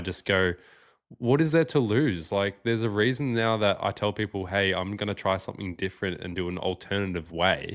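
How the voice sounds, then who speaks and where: An ordinary speaking voice moves at a moderate pace and shows ordinary pitch variation. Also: man. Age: 20s. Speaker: Bitcoin podcast host. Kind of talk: interview conversation.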